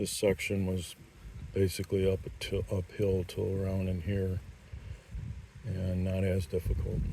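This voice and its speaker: Very deep and low, a man's dark, mellow, somewhat breathy voice moves at a fairly slow pace in a flat monotone, broken by long, frequent pauses. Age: 60s. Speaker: mountain biker. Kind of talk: trail review talk. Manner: casual with fillers.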